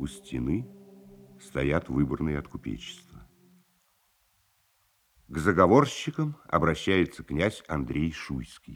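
Big pitch swings and a slightly husky edge mark this slow delivery, broken by long, frequent pauses. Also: man.

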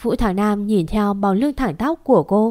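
Plain reading aloud. The pitch rises and falls in an ordinary way.

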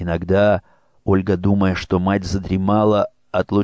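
Simply a natural reading voice

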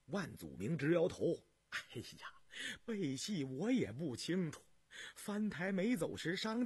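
Someone reads aloud naturally, and the intonation is lively.

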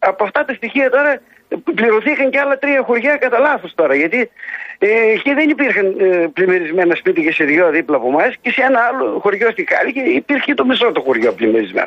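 A man talks at a fairly quick pace with an extremely high pitch and very wide pitch swings. His loudness stays very even. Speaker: farmer. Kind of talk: radio phone interview.

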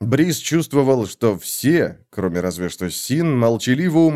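What you hear is plain reading aloud.

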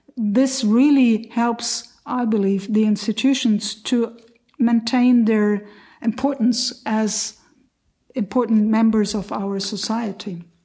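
Somewhat breathy and dark, mellow in tone, the voice carries a German accent. It moves at a very slow pace. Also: woman, fairly high pitch for a woman, fairly even intonation. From Lower Saxony, Germany. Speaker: cultural event organizer. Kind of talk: roundtable discussion.

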